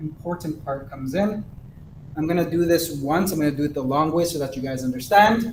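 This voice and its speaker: A man with a fairly high pitch speaks at a fairly quick pace, using ordinary pitch variation. Room echo is audible. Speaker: math teacher. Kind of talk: lecture. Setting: recorded online class.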